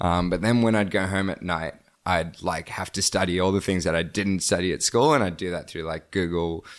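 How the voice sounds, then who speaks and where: In an Australian accent, the speaker talks at a fairly quick pace with fairly even intonation on a very clean recording with a silent background. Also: man, very deep, low pitch for a man. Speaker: solar energy entrepreneur. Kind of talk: interview. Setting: podcast recording. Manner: halting, many fillers.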